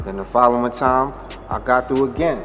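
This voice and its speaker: There is audible room echo and noticeable background noise as a man of medium pitch speaks. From New York City (Harlem). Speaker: vodka brand founder. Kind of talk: interview. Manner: casual, conversational.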